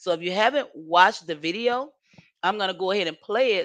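A woman with a Southern US accent speaks at medium pitch. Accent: Southern US country. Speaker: YouTube livestream host. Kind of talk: casual livestream chat. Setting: home livestream. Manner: rambling, chatty.

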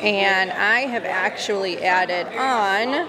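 A woman is speaking. Crowd noise carries in the background. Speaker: vlogger. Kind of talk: casual vlog chat. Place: cafe.

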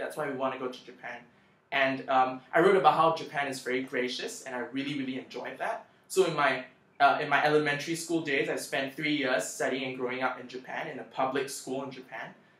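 Very fast and fairly high-pitched, a man's bright, sharp voice swings widely in loudness amid audible room echo. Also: ordinary pitch variation. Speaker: scholarship applicant sharing tips on video channel. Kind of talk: tutorial. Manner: casual with frequent fillers. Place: home room. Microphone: webcam.

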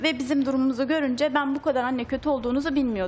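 Music plays in the background as a woman speaks in a high pitch. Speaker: parent of two children, studio guest. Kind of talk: personal testimony. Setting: TV studio.

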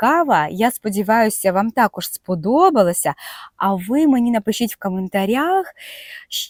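An unforced reading voice. The intonation is lively.

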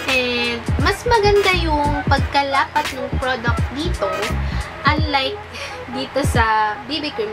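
Loud music plays in the background. A woman speaks over it at a very slow pace. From Philippines. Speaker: beauty vlogger. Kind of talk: casual product review to camera. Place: home room. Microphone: camera far.

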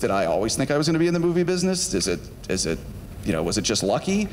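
With an American accent, a man talks at a very fast pace with very wide pitch swings. Light background noise can be heard. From US South, Georgia (Marietta); Georgia. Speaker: film studio executive; guest lecturer. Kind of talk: lecture to students. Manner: casual, conversational with fillers. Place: stage. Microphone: handheld.

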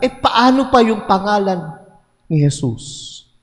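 A man speaks in a warm, animated tone. Music plays in the background. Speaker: priest. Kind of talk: homily in a Mass. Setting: church with congregation. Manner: animated, conversational; warm, call-and-response with congregation.

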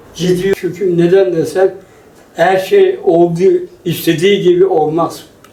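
With noticeable background noise, a man speaks very slowly in a high pitch and a flat, monotone delivery. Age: 80s+. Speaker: former footballer and coach. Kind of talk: interview answer.

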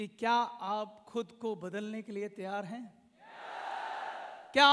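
Raising and projecting his voice, a man speaks with a bright, sharp tone. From India, Uttar Pradesh (Saharanpur), then Delhi; Uttar Pradesh. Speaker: company founder, motivational speaker; motivational speaker. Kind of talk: motivational speech. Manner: emphatic, repetitive. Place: hall. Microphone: handheld.

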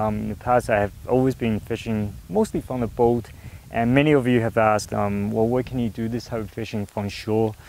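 A man talks at a fairly quick pace, the sound dry with no echo. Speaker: fishing video host. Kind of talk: casual outdoor tutorial chat. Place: waterside. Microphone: lapel.

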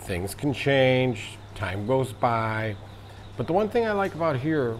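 Speaking at a fairly slow pace with an American accent, a man's medium-pitched voice makes very wide pitch swings over noticeable background noise. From United States. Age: 60s. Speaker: vlogger. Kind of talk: casual monologue.

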